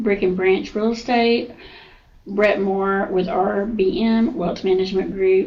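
A woman with a Southern US accent, medium pitch, ordinary pitch variation and a fairly slow pace. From Georgia, US South (Newnan). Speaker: insurance agency owner. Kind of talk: casual interview. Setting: office.

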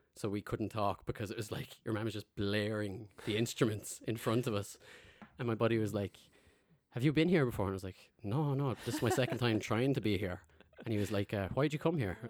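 Male speech in a Limerick accent at a medium pitch and a fairly quick pace, with ordinary pitch variation. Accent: Irish, Limerick. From Ireland (Limerick). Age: 30s. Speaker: podcast host. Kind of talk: casual chat.

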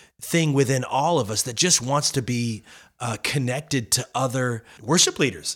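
On a very clean recording with a silent background, a man with an unremarkable speaking voice talks at a moderate pace with medium pitch and lively intonation. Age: 40s. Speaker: podcast host. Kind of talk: casual interview. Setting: studio.

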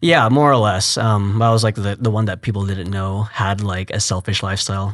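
Over a quiet background, a man with an American accent and a fairly low pitch uses an unremarkable speaking voice with fairly even intonation. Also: hardly any pauses. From Texas, Fort Worth. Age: 20s. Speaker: youth ministry worker. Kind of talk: interview testimony.

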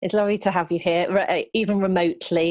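A woman with a British accent, at a very fast pace, with monotone, flat intonation. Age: 40s. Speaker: podcast host and editor. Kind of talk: interview. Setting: remote call.

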